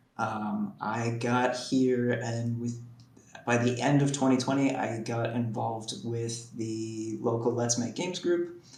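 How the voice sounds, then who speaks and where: With an American accent, a man of medium pitch talks at a fairly slow pace and with fairly even intonation, with audible room echo and noticeable background noise. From United States. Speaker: game developer, event organiser. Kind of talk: interview.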